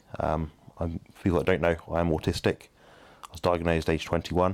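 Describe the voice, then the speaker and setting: A man with a southern English accent speaks at a very deep, low pitch. His pace is fairly quick and his intonation monotone and flat. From southern England. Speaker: bodybuilding nutrition coach and podcast host. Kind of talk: casual chat.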